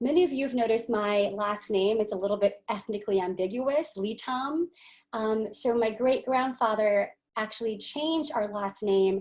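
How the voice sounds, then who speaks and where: The speaker is a woman with a fairly high voice. Her pitch moves with ordinary variation. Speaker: counselor educator. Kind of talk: panel presentation. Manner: fast.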